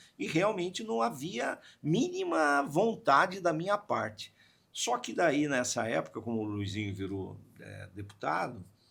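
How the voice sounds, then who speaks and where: The man's pitch swings very widely as he talks fairly slowly with music in the background. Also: fairly high pitch for a man. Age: 60s. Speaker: radio/media communicator. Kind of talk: podcast interview. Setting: studio. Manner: animated storytelling.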